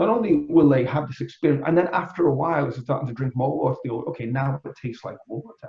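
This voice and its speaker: With a Liverpool accent, a man rattles along at a very fast pace with hardly any pauses, his fairly high pitch showing ordinary variation while his loudness swings widely. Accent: Liverpudlian. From England, Liverpool. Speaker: energy healer. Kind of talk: casual interview chat.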